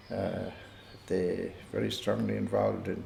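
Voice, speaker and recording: In a space with audible room echo, a man's words come at a rather slow pace. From Ireland, Co. Tipperary. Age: 70s. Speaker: retired community figure recalling family history. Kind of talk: oral history interview. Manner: hesitant, with many fillers.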